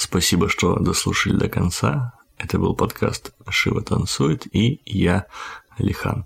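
This man talks very slowly in a fairly low voice, with lively intonation. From Kazakhstan. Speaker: podcast host. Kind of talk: scripted outro; casual chat.

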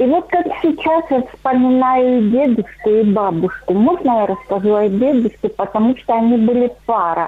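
Over noticeable background noise, a woman with a high pitch and lively intonation talks at a moderate pace with hardly any pauses and very even loudness. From Russian Far East. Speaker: caller. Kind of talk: phone-in storytelling. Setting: phone call.

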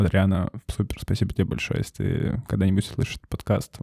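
A man's dark, mellow voice sits at a fairly low pitch in a very clean recording with a silent background. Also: dry, close sound with no echo. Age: 20s. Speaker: cafe owner. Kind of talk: casual interview.

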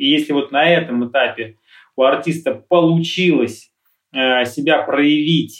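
Speaking fairly slowly with an unremarkable speaking voice, this man sits fairly high in pitch, and his pitch varies in an ordinary way. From Russia, Lipetsk region. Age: 40s. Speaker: music producer. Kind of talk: interview. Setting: live stream.

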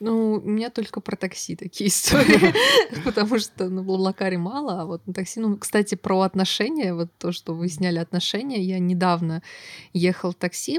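Over noticeable background noise, a woman talks at a moderate pace with medium pitch and ordinary pitch variation. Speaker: podcast host. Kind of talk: casual chat.

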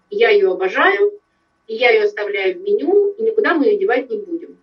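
Pitch swings very widely as the speaker proceeds at a moderate pace. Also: woman. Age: 40s. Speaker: business owner. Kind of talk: interview.

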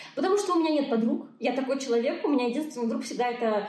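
A high-pitched woman talks with lively intonation. There is audible room echo and noticeable background noise. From Belarus. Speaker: blogger and coach. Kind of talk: casual interview. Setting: video call.

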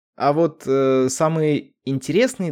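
A man speaks at a fairly high pitch with a dark, mellow tone. The recording is very clean, the background silent. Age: 20s. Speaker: podcaster. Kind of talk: personal monologue.

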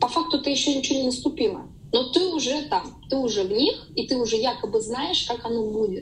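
A woman talks at a fairly quick pace with lively intonation and a high pitch. Noticeable background noise is present. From Saint Petersburg, Russia. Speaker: yoga teacher. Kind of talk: interview.

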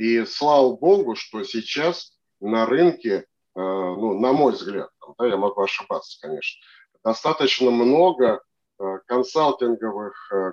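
A man at a medium pitch speaks with lively intonation, in a dry, close sound with no echo. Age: 60s. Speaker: operations consultant and MBA lecturer. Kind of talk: expert interview. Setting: studio.

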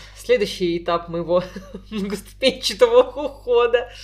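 A woman speaks in a high pitch with lively intonation. Music plays in the background. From Tolyatti, Volga region, Russia. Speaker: podcast co-host. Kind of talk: casual chat.

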